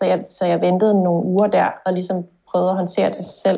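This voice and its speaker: This woman's voice sits at a medium pitch, with flat, monotone intonation. She keeps a moderate pace. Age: 30s. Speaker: concussion patient. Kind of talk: testimony in interview. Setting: video call.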